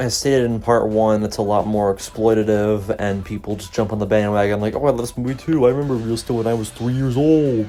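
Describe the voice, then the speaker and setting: Mumbling from a man at medium pitch, with fairly even intonation and music in the background. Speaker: youtuber, movie fan commentator. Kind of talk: unscripted commentary video. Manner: rambling, casual.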